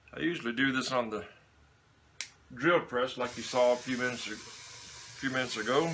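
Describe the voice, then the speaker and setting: Someone with an American accent speaks at a moderate pace with ordinary pitch variation. There is noticeable background noise. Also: man. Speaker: leatherworker making holsters. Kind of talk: workshop tutorial. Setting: home workshop. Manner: casual, chatty.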